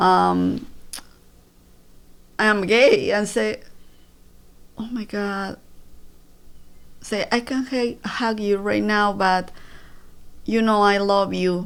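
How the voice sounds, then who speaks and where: Someone with a Spanish accent speaks at a very slow pace with fairly even intonation and long, frequent pauses. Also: woman, medium pitch for a woman. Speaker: breast cancer survivor and mother. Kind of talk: interview. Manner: halting.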